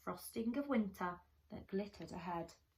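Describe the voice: A woman speaks at a medium pitch, with ordinary pitch variation.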